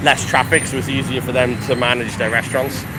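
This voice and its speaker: A man is speaking. Music plays in the background. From Wales. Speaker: chef and travel vlogger. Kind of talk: live walking tour vlog. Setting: outdoors, street in Chinatown. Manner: casual, chatty.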